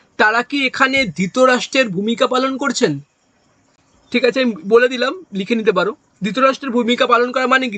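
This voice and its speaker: A man projects a raised voice at an extremely high pitch, with ordinary pitch variation. The tone is bright and sharp, and the sound is dry and close with no echo. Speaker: exam coaching teacher. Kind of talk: lecture.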